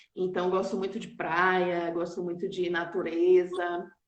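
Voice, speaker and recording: There is audible room echo around a woman's voice. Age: 40s. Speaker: nurse and auditor, entrepreneur. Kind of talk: casual chat. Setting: online live stream.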